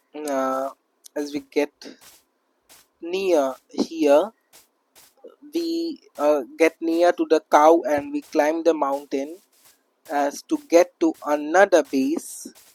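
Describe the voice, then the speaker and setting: The speech moves at a very slow pace with long, frequent pauses. Music plays in the background. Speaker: gaming youtuber. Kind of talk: game commentary. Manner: halting, many fillers.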